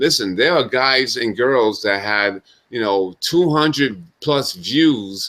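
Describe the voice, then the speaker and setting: Speaking at a very slow pace with a New York accent, this man has a medium pitch, a bright, sharp tone and lively intonation. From US Northeast, Brooklyn New York. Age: 40s. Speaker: talk show host. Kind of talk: casual monologue. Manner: halting.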